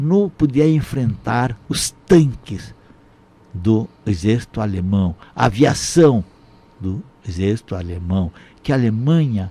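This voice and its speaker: This man's voice is medium in pitch, somewhat breathy, with a dark, mellow tone and lively intonation. He speaks very slowly, with long, frequent pauses. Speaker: Holocaust survivor. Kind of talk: testimony. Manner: halting.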